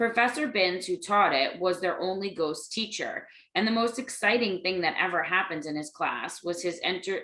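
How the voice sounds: The pitch shifts in an ordinary way as someone reads in a natural reading voice.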